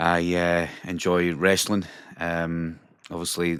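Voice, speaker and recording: A man with a Caithness accent, very deep, low pitch, monotone, flat intonation and a very slow pace, in a very clean recording with a silent background. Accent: Scottish Highlands (Caithness). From Scotland, Wick (Caithness). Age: 30s. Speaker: pro wrestler and train conductor. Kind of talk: casual chat.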